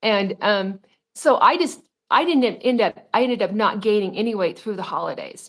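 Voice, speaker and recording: Lively intonation at a moderate pace in a very clean recording with a silent background. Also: woman, fairly high pitch for a woman. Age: 60s. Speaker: weight loss guest sharing her story. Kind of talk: casual interview chat. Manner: halting, many fillers.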